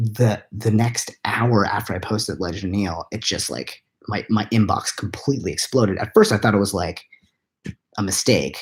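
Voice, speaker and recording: A somewhat breathy, fairly low-pitched male voice. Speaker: web series creator. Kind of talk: casual live Q&A. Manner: whispered.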